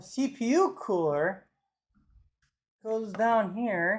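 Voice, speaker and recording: Quiet speech with long, frequent pauses, in a very clean recording with a silent background. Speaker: streamer building a PC. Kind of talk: live stream tutorial. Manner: casual, thinking aloud. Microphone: mic turned up after being too quiet.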